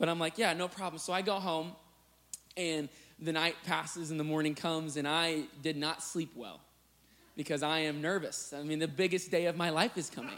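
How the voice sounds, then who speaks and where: A man with an American accent and a plain, everyday voice, fairly high in pitch, at a moderate pace with fairly even intonation. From US Midwest, Illinois. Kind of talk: sermon.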